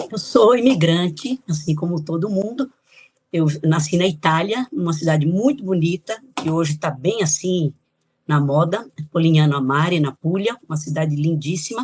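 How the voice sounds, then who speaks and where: A woman with a fairly low pitch speaks at a moderate pace in a somewhat breathy voice with lively intonation. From Brazil, São Paulo (born in Italy, moved at 2). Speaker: author and geographer. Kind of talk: interview.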